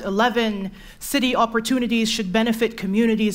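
Her voice is fairly high, and her intonation is monotone and flat. This woman speaks at a moderate pace. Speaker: poet. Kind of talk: slam poetry performance. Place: stage.

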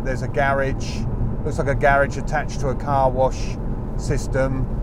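Loud background noise surrounds a man speaking at a moderate pace in a dry sound with no echo. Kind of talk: commentary. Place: car.

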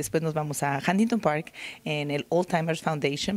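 At a moderate pace, a woman with a fairly low pitch and ordinary pitch variation speaks in a dry sound with no echo. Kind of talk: interview answer. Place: hall. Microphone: handheld.

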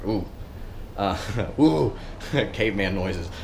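A man speaks at a fairly low pitch. Light background noise can be heard. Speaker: car vlogger. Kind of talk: casual vlog chat. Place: garage. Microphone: phone near.

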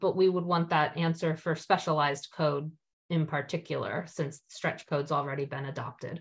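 A woman with an American accent speaks fairly slowly at a fairly low pitch, with ordinary pitch variation against a quiet background. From US Northeast. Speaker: committee chair. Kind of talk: public meeting. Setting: video call. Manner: formal. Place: home room. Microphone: video call.

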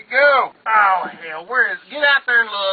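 Light background noise sits behind a man speaking with a Southern US accent. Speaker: comedy video maker. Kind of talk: comedy skit with swearing. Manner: frustrated, cursing. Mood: frustrated, cursing. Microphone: phone near.

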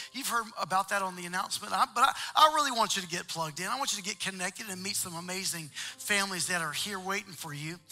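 A man talks in a raised, projected voice at a very fast pace with hardly any pauses. His loudness swings a lot, his pitch varies in an ordinary way, and faint music plays in the background. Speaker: church pastor making announcements. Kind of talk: church announcements to congregation. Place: church.

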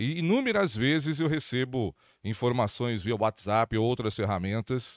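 Over a quiet background, a man talks at a moderate pace with ordinary pitch variation in a dry sound with no echo. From Brazil. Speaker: accounting consultant and lecturer; lecturer. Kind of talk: lecture. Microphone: handheld.

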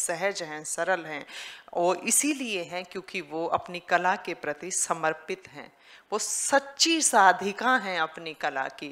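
Very slow speech from a woman, with a quiet background. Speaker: event host. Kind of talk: stage announcement introducing a performer. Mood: warm, praising, oratorical. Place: stage. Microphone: podium.

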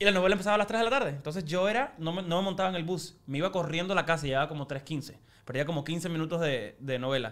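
A very fast-paced, high-pitched male voice with ordinary pitch variation. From Cuba. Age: 20s. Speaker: TV host and actor; TV host, actor. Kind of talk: casual chat. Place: studio. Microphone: studio mic.

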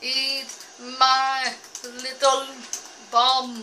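In a put-on character voice, a woman speaks at a high pitch with monotone, flat intonation. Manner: menacing, comedic.

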